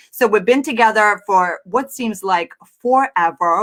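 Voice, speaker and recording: A woman speaks at a fairly slow pace with a Russian accent and a medium pitch. Her tone is energetic and animated, and her intonation is lively. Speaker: entrepreneur and business coach. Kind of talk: live-stream presentation. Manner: energetic, animated.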